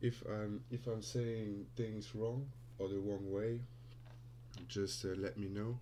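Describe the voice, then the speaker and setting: A man with a non-native accent and a dark, mellow tone speaks at a very slow pace with lively intonation and long, frequent pauses. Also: fairly low pitch for a man. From Luxembourg. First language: Luxembourgish. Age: 20s. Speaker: crypto trader and streamer. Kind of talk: live stream Q&A. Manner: halting.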